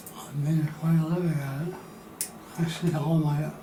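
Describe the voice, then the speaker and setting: Soft-spoken and fairly slow, a man talks in a monotone, flat intonation at a fairly high pitch. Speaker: retired company president and oil painter. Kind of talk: interview answer.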